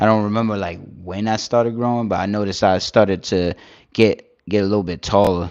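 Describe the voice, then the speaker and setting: Fairly even intonation marks a man's fairly quick speech. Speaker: live streamer. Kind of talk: casual chat with live chat readers. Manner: halting, filler-heavy.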